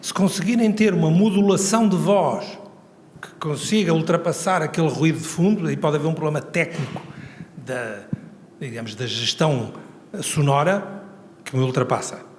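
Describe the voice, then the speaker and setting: This man speaks with a high pitch at a moderate pace. Noticeable background noise and audible room echo fill the recording. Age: 70s. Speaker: professor emeritus, transport engineering expert. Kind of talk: Q&A answer at a conference. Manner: conversational, informal fillers.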